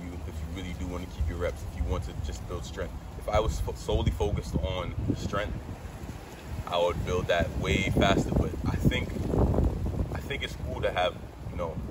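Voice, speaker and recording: A man at a fairly quick pace, with loud background noise. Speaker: fitness creator. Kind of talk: casual vlog chat. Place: garden.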